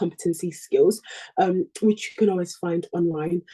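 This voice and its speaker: At a fairly quick pace, a woman talks in a somewhat breathy, dark, mellow voice of medium pitch, with a dry, close sound and no echo. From UK. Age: 20s. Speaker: junior doctor. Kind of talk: presentation. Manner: fast; hesitant, many fillers.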